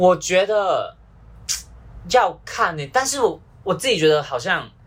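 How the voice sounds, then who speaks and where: With a Malaysian accent, a man speaks at a high pitch. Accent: Malaysian Chinese Mandarin. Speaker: university student. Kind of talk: casual chat.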